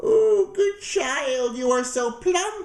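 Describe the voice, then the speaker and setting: An extremely high, squeaky put-on character voice from a man. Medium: read story. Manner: wheedling, falsely sweet.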